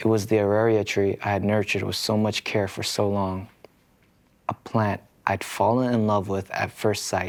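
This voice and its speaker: A man speaks softly in a fairly low voice with a gentle tone and a flat, monotone delivery. His pace is moderate, and the recording is very clean with a silent background. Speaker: K-pop idol. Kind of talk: sleep story. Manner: soft, gentle.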